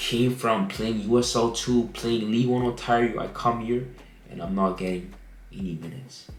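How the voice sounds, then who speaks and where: Audible room echo and noticeable background noise are both present in the clip. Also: man. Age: 20s. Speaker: amateur footballer and university student. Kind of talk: personal story vlog. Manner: casual, conversational.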